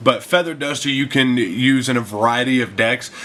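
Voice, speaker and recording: With noticeable background noise in the clip, a man talks at a moderate pace. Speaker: card game content creator. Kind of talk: casual talk to camera.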